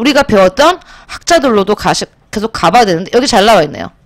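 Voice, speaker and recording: Swinging very widely in pitch, a woman with a fairly high voice speaks in an animated tone. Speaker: high school social studies teacher. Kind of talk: lecture. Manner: animated, rhetorical questions.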